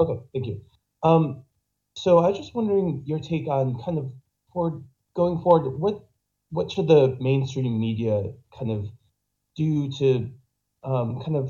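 Somewhat breathy, with a dark, mellow tone, a man with an American accent speaks at a medium pitch and moderate pace with lively intonation. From Boston. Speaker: caller. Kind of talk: call-in discussion. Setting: online voice call via Discord, weak microphone. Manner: halting.

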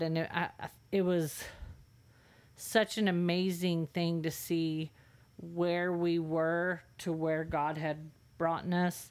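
In a very clean recording with a silent background, a woman with an American accent speaks in a fairly low, monotone, flat voice. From California. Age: 40s. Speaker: host's wife, guest. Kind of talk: testimony. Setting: studio.

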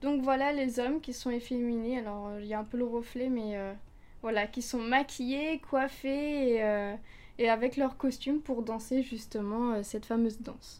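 A soft-spoken woman's high voice, fairly slow and fairly even in intonation, in a very clean recording with a silent background. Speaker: university student, culture columnist. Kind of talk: prepared column.

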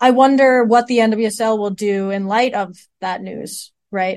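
The woman has an ordinary speaking voice with a fairly high pitch. She talks at a fairly slow pace. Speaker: podcast host. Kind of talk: casual podcast discussion.

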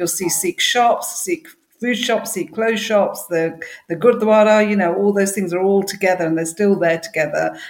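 A woman speaks in an East Midlands accent at a medium pitch. Her pace is moderate and her pitch variation ordinary. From English Midlands, Derby. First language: Punjabi. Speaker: library staff co-host. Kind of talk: casual chat.

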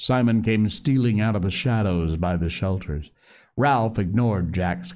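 A natural reading voice carries the text. Its pitch variation is ordinary.

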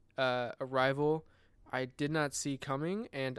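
An ordinary speaking voice with fairly even intonation, on a very clean recording with a silent background. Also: man. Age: 20s. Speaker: freelance filmmaker and photographer. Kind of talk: casual chat.

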